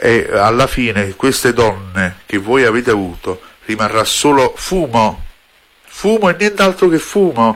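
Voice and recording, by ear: A man speaks at a medium pitch with a fairly bright tone and ordinary pitch variation.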